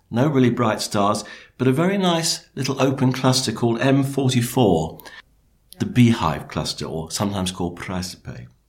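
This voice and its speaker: At a moderate pace, a man with a British accent speaks at a medium pitch with vocal fry and very wide pitch swings. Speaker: astronomer, night sky presenter. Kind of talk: scripted narration.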